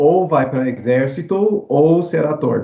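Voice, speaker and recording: In an English accent, a man speaks at a very slow pace with ordinary pitch variation. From US South, New Orleans. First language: English (speaking Portuguese). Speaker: actor. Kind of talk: casual chat. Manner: halting.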